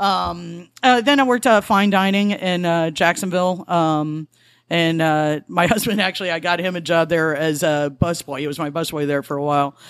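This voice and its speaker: A woman with an American accent uses an ordinary speaking voice at fairly low pitch, with ordinary pitch variation and a moderate pace, in a very clean recording with a silent background. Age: 40s. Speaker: bartender and former actor.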